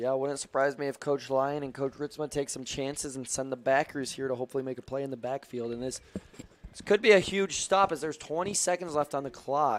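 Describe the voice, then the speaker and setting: An ordinary speaking voice at a fairly quick pace, with ordinary pitch variation and big swings in loudness. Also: man, fairly high pitch for a man. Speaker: play-by-play sports commentator. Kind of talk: live commentary.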